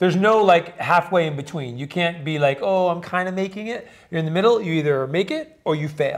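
The delivery is animated and fairly quick, with ordinary pitch variation. The background is quiet. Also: man. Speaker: podcast co-host. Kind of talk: casual chat. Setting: hotel suite in Dubai. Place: home room.

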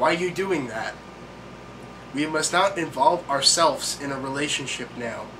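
Pitch varies in an ordinary way as the speech proceeds at a moderate pace through noticeable background noise. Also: man. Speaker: vlogger. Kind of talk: comedic reading and commentary. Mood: sarcastic, deadpan. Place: home room. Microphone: webcam.

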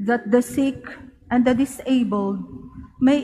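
A woman speaks at a very slow pace in a high pitch, with ordinary pitch variation. Noticeable background noise runs behind her. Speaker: lector at mass. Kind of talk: scripture reading. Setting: church.

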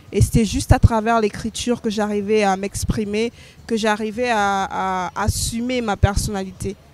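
At a fairly slow pace, a woman speaks in a monotone, flat intonation, with light background noise and a dry sound with no echo. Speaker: interview guest, slam poet. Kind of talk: interview answer. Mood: calm, reflective. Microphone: handheld.

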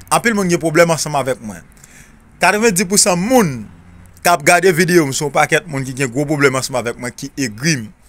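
A man's unremarkable speaking voice, fairly high in pitch, at a moderate pace with big swings in loudness. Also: lively intonation. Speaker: spiritual remedy video creator. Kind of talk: tutorial.

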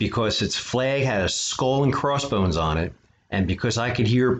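A natural reading voice is heard throughout.

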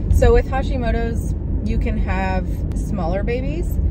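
Loud background noise surrounds a woman speaking at a fairly slow pace. The sound is dry, with no echo. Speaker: lifestyle vlogger. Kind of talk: casual vlog talk to camera. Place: car. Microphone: phone near.

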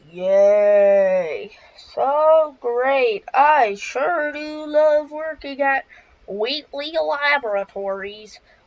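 A woman speaks very slowly in a put-on character voice, high-pitched with very wide swings in pitch. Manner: fake cheerful, sarcastic.

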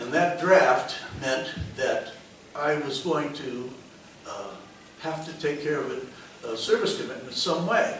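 A man with an American accent speaks with long, frequent pauses. Light background noise and audible room echo are present. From Connecticut, West Hartford. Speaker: retired air force officer. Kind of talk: public talk. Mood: reflective storytelling. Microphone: podium.

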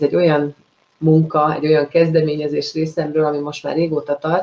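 Her pitch is very deep and low, and the intonation stays monotone and flat. This woman speaks at a moderate pace. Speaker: host of live interview show. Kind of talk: live show introduction. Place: home room.

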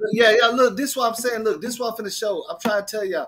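The man's high-pitched voice is raised and projected, with an animated tone. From Detroit, Michigan. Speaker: livestream host. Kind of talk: casual livestream discussion.

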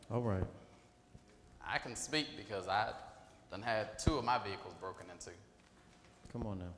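The man talks at a moderate pace. Room echo is audible, along with light background noise. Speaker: preacher. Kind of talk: sermon. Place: church. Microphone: lapel.

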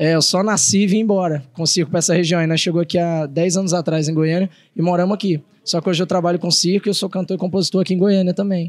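A high-pitched man at a very fast pace, with very even loudness and fairly even intonation. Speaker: singer-songwriter and circus clown. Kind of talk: casual interview chat. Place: hall. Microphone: handheld.

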